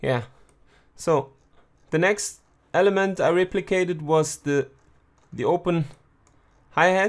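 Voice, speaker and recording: A man with a German accent and a high pitch speaks at a fairly slow pace, with ordinary pitch variation and long, frequent pauses. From Germany. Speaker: music producer. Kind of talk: tutorial. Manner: halting.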